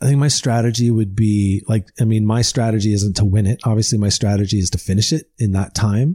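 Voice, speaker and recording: A man with a Canadian accent, fairly low in pitch, dark and mellow in tone, somewhat breathy, fairly quick with hardly any pauses, fairly even intonation and very even loudness. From Ottawa Valley, Ontario, Canada. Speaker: podcaster and bikepacker. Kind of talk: casual chat.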